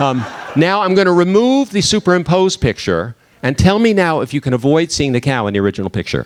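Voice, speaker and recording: Against noticeable background noise, a man talks at a very fast pace in an animated tone, his fairly high pitch making very wide swings. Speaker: diversity and bias speaker. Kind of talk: talk to a live audience. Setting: stage with audience.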